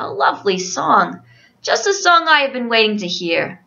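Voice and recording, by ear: A woman uses a put-on character voice, pitched fairly high. Her pace is moderate.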